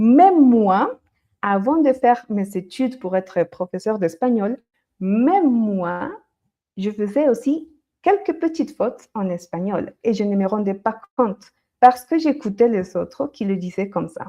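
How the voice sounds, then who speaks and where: A woman speaks fairly slowly with lively intonation, a fairly high pitch, and a dark, mellow tone. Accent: slight Colombian. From Colombia. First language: Spanish (speaking French). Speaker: Spanish teacher. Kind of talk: live-stream language lesson. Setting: livestream.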